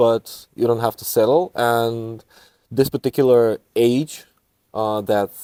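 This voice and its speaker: At a fairly slow pace, a man speaks in a dark, mellow tone at medium pitch with ordinary pitch variation, the sound dry and close with no echo. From northeast Bulgaria. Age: 30s. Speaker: residence hall director. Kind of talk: interview.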